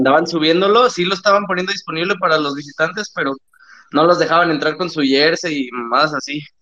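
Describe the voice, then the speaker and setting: A bright, sharp male voice at a fairly quick pace with ordinary pitch variation. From Monterrey, Mexico. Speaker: caller, streamer. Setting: phone call.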